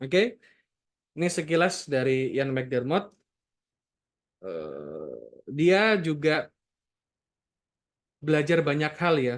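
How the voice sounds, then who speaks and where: Speaking at a very slow pace with long, frequent pauses, a man talks in a fairly high pitch. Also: ordinary pitch variation. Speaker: NLP book reviewer. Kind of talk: book discussion talk. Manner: casual, conversational.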